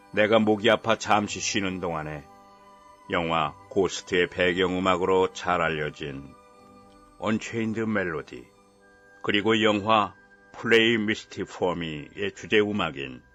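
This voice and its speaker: Against music in the background, a man with a very deep, low pitch speaks at a very slow pace, with ordinary pitch variation and long, frequent pauses. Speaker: audiobook narrator. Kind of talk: short story audiobook reading.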